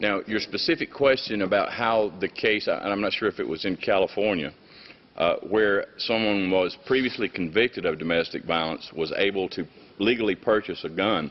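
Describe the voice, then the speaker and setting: This man has a Southern US accent. He talks at a moderate pace with ordinary pitch variation. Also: fairly low pitch for a man. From US South, Mississippi. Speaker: state attorney general. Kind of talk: formal testimony to international committee. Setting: UN council hearing with interpreters. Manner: hesitant with fillers.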